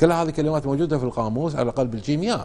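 With a Kuwaiti accent, a man speaks in a dark, mellow tone and lively intonation. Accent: Kuwaiti Gulf Arabic. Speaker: researcher of Kuwaiti dialect. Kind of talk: TV interview answer. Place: studio. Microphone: lapel.

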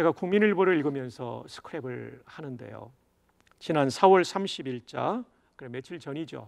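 Against a quiet background, a man speaks fairly slowly at a fairly high pitch. His intonation is lively and his loudness swings widely. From South Korea, Busan; South Korea. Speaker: pastor. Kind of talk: sermon. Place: studio. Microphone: lapel.

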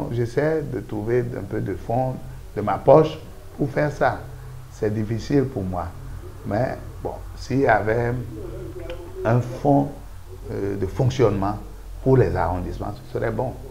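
Over noticeable background noise, a man speaks at a very slow pace with lively intonation and long, frequent pauses. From Benin. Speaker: local elected official; interviewee. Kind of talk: interview. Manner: halting. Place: studio. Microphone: lapel.

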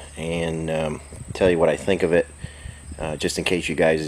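A man's very deep, low voice over light background noise. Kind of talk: casual workshop commentary. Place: workshop. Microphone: phone near.

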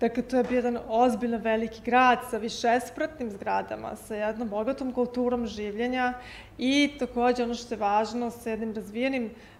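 A woman's high voice with monotone, flat intonation, at a fairly quick pace with hardly any pauses. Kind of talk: interview answer. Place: hall.

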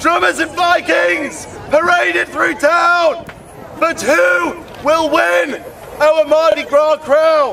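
A loud man's voice at an extremely high pitch, very slow in pace, over crowd noise in the background. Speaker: town crier. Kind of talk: town crier proclamation in rhyming verse. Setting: outdoors at a festival. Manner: loud, projected, ceremonial. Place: open country. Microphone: handheld.

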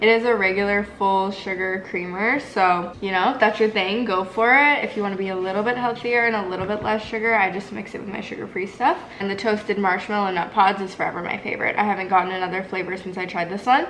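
The speech runs at a very fast pace with hardly any pauses, light background noise behind it. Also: woman, fairly even intonation. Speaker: vlogger. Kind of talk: casual vlog chat. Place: kitchen. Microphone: camera far.

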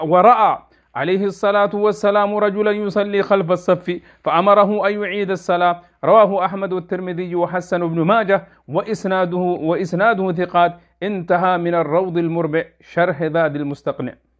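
Against a quiet background, a man speaks with a high pitch. His intonation is fairly even and his pace moderate. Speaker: religious teacher. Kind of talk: lecture. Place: studio. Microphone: lapel.

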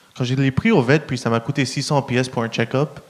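A man speaks in an English accent. His pace is moderate and his pitch variation ordinary. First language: English (speaking French). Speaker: stand-up comedian. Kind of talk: stand-up. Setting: stage with audience. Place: stage. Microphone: handheld.

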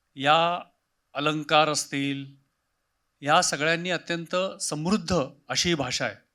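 Fairly high in pitch and bright and sharp in tone, a man talks with fairly even intonation on a very clean recording with a silent background. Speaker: senior civil servant, city commissioner. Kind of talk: interview. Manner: measured, with pauses.

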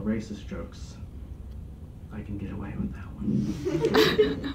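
Noticeable background noise can be heard. The speaking pace is moderate. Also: man. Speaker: comedian. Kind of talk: stand-up comedy set. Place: meeting room. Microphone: camera far.

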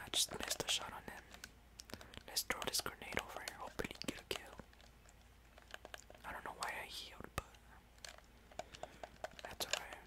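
A whispering voice moves at a fairly quick pace, broken by long, frequent pauses. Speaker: gaming ASMR creator. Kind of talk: ASMR gameplay commentary. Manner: whispered; relaxing.

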